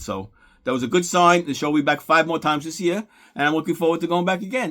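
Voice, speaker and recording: The speaker talks at a very fast pace. The voice has a Brooklyn accent. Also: man. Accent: New York (Brooklyn). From New York, Brooklyn. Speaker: sports card YouTuber. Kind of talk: vlog narration and walkaround. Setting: indoor card show, crowded venue.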